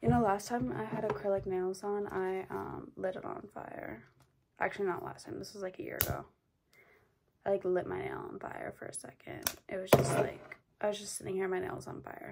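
A woman keeps a moderate pace while noticeable noise runs in the background. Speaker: vlogger. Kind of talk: casual chat. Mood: playful, joking. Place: home room. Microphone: phone near.

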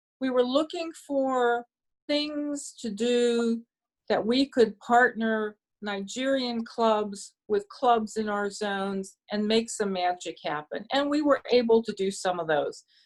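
Against a quiet background, a woman with a Pittsburgh accent speaks very slowly at a fairly high pitch with ordinary pitch variation. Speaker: Rotary speaker. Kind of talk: Q&A talk at club meeting.

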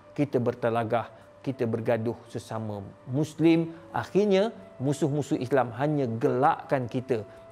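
With faint music behind him, a man at medium pitch talks at a fairly slow pace and ordinary pitch variation. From Malaysia. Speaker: Islamic scholar, professor; professor. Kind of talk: address to audience. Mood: nostalgic, sorrowful. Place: studio. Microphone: lapel.

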